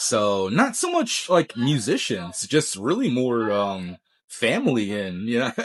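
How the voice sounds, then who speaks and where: At a fairly slow pace, a man with an ordinary speaking voice talks at a medium pitch with lively intonation against a quiet background. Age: 40s. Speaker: guitarist. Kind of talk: casual interview.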